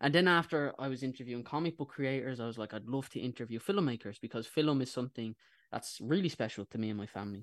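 Speaking very fast with an Irish accent, a man at medium pitch comes through on a very clean recording with a silent background. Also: ordinary pitch variation. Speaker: YouTube interviewer. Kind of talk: radio interview. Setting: radio studio.

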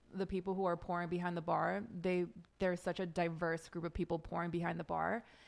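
A woman with a Californian accent speaks in a fairly low voice at very even loudness. The recording is very clean, with a silent background. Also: fairly quick pace. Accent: Californian American English. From Los Angeles, US. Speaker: podcast co-host. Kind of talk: casual chat. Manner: animated.

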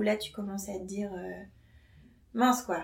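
Speaking at a medium pitch and varying it in an ordinary way, a woman's voice carries audible room echo. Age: 30s. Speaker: nurse. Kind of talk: casual chat.

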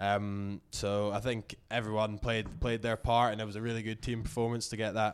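The intonation is monotone and flat. It comes in a Scottish accent. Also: man. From Scotland, Inverness. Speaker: professional rugby player. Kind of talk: interview. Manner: halting.

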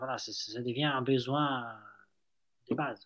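A man's bright, sharp tone with a slight Italian accent, in a very clean recording with a silent background. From Italy. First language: Italian (speaking French). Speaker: startup founder. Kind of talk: interview.

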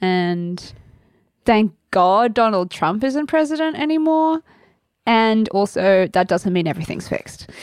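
Very wide pitch swings mark this speech in an Australian accent. The pace is fairly slow, over a quiet background. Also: woman, fairly high pitch for a woman. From Sydney, Australia. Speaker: actor and singer-songwriter. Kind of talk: casual chat.

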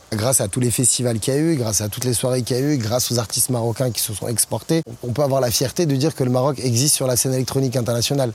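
A man's medium-pitched voice with ordinary pitch variation at a very fast pace, amid noticeable background noise. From Morocco. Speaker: DJ and music producer. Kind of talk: interview monologue. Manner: animated.

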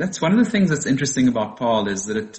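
A man speaks with a South African accent. His intonation is lively. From South Africa, Western Cape. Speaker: winemaker. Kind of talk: interview.

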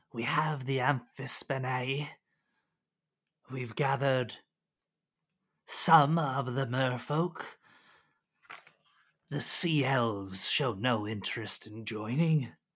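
A man's put-on character voice at medium pitch, very slow, with long, frequent pauses. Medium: actual play. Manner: snarling, halting speech.

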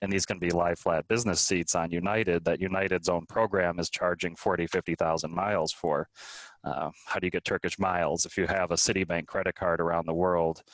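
With an American accent, a man speaks in a very deep, low pitch and flat monotone, in a very clean, dry, close recording with a silent background and no echo. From US Midwest, Minnesota. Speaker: world traveler and travel blogger. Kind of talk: interview conversation.

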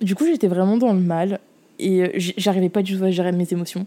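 Her tone dark and mellow, a woman speaks at medium pitch and a moderate pace. The recording is very clean, with a silent background. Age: 20s. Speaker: podcast host and student. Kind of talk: casual monologue. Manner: animated.

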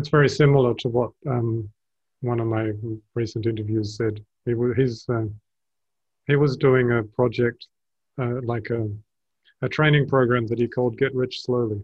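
A man with an Australian accent speaks at a moderate pace and medium pitch, somewhat breathy. His intonation is monotone and flat, with long, frequent pauses. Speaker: podcast host and speaker. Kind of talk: casual interview chat. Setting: video call.

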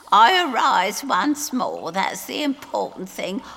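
A slow put-on character voice, bright and sharp, with vocal fry, big pitch swings and faint background noise. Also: woman, medium pitch for a woman.

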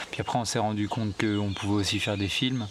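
Over noticeable background noise, a man speaks in a fairly low pitch with monotone, flat intonation. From France, southern Deux-Sèvres. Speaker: wildlife filmmaker. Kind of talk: long-form interview. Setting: at a table in his small farm. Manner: halting, many hesitations.

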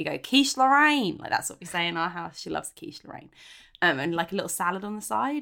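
Her tone is bright and sharp, with vocal fry running through it. The woman talks at a fairly quick pace with lively intonation. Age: 30s. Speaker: podcast co-host. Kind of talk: casual chat. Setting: remote call from home.

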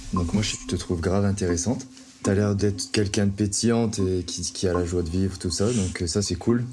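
Moderate pace and fairly even intonation, with audible room echo and noticeable background noise. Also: man, fairly low pitch for a man. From northern France, Lille. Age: 30s. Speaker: single on a dating show. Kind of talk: casual chat. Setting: in total darkness.

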